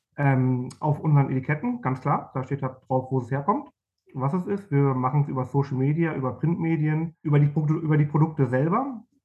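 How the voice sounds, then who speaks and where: At a moderate pace, a man with a fairly high pitch and ordinary pitch variation speaks in an ordinary speaking voice. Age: 40s. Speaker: marketing manager. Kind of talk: interview.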